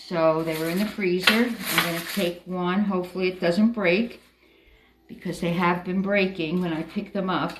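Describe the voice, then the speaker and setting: Amid noticeable background noise and audible room echo, a woman speaks at medium pitch and a moderate pace with fairly even intonation. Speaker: home baker. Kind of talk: cooking tutorial. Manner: muffled.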